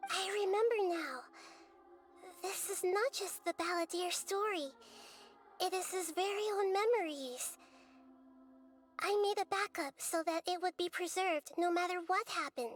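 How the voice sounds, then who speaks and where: Over faint music in the background, a female-sounding put-on character voice at extremely high pitch moves at a moderate pace, broken by long, frequent pauses. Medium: video game. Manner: gentle, measured.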